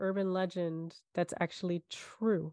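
A woman speaks with a New York accent. The sound is dry and close, with no echo. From New York, Staten Island. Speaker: podcast co-host. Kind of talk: casual chat, storytelling.

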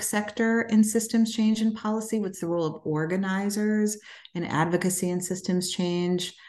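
A woman with an American accent has a dark, mellow tone. She moves at a fairly quick pace with fairly even intonation. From Chicago South Side. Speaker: foundation president. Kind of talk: interview.

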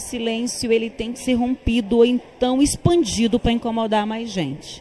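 A woman with fairly high pitch at a moderate pace, amid noticeable background noise. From Tocantins, Brazil (sertão). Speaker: film director. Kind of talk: interview. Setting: film festival.

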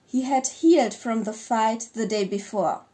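A dark, mellow tone with a German accent, ordinary pitch variation and a fairly slow pace. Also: woman. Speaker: podcast co-host and fiction writer. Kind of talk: casual chat; reading aloud.

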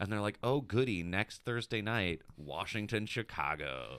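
Lively intonation runs through a man's fairly low voice, an unremarkable speaking voice. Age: 30s. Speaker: fantasy football podcast host. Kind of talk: casual chat.

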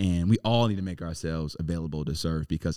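A man's very deep, low, dark and mellow voice with an American accent, fairly quick, with ordinary pitch variation and a dry, close sound with no echo on a very clean recording with a silent background. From Cleveland, Ohio (Southeast Side). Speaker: mayoral candidate. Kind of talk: interview.

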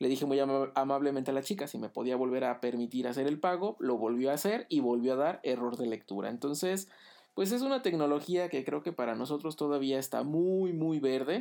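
A man's fairly high pitch shows ordinary pitch variation as he talks at a fairly quick pace. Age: 30s. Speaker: tech podcaster. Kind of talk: solo podcast monologue. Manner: hesitant, many fillers.

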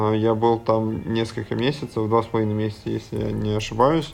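A man's medium-pitched voice, monotone and flat in intonation, with music in the background. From Russia, Samara region (Syzran). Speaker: basketball and fitness coach. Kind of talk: interview.

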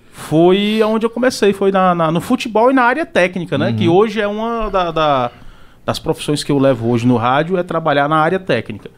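A man speaks at a fairly quick pace in a high voice. His pitch moves in very wide swings. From Ceará, Brazil. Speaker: radio announcer. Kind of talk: casual chat. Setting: studio.

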